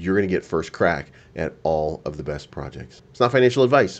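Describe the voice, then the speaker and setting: Pitch swinging very widely and voice showing vocal fry, this man keeps a moderate pace. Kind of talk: commentary. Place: home room.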